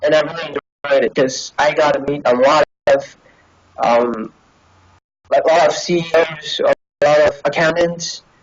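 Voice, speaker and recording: The speech goes at a moderate pace with long, frequent pauses. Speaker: college student being interviewed. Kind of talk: interview conversation. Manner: halting, many fillers.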